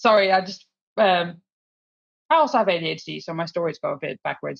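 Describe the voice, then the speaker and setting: With vocal fry and big swings in loudness, the speaker talks at a fairly quick pace over a quiet background. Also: woman. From Netherlands. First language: Dutch. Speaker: solutions engineer and tech community organiser. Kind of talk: podcast interview.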